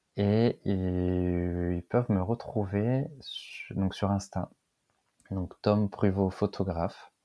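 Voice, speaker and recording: At a very slow pace, a man speaks with a fairly low pitch. His intonation is fairly even. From northern France, Lille. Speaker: wedding photographer. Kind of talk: podcast interview.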